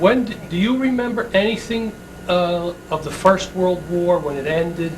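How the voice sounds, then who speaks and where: A man with a high-pitched voice talks while noticeable background noise fills the recording. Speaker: interviewer.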